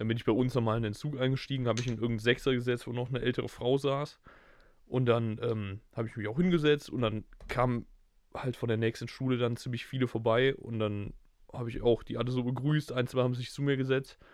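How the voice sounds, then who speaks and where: This man speaks very fast at a medium pitch, his intonation fairly even. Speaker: podcast co-host. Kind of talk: casual chat.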